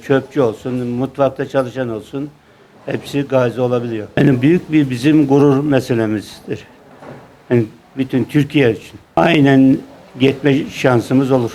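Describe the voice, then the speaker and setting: A man's medium-pitched voice at a fairly slow pace, with noticeable background noise. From Burdur, Turkey. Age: 70s. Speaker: war veteran. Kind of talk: interview answer.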